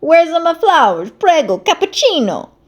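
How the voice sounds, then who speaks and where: A woman puts on a character voice with an Italian accent, her pitch extremely high and swinging very widely. She talks at a moderate pace. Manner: silly, hollering.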